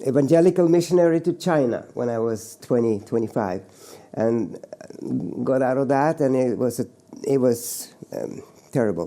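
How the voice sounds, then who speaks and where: A man with a Norwegian accent speaks in a dark, mellow tone. His intonation is lively, broken by long, frequent pauses. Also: medium pitch for a man, moderate pace. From Norway, rural mountain farm. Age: 70s. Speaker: painter. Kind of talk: interview monologue. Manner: halting, many repetitions and fillers.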